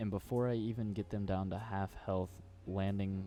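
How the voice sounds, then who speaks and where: Music plays behind a man with a very deep, low pitch. He keeps a moderate pace and fairly even intonation. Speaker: gaming youtuber. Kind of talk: commentary video monologue. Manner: casual, hesitant with fillers.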